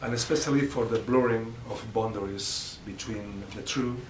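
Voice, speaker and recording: The speaker uses fairly even intonation at a moderate pace. Audible room echo and noticeable background noise are present. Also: man. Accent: non-native. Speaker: professor. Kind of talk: lecture read from text. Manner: halting, frequent uh and repetitions.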